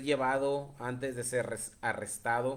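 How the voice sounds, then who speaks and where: A man's voice at medium pitch carries audible room echo. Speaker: preacher. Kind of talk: sermon. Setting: live stream.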